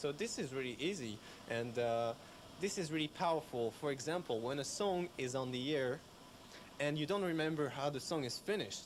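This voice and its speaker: The speaker has a French accent, a moderate pace and ordinary pitch variation. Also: man. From France. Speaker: radio systems engineer. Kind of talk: technical explanation. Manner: halting.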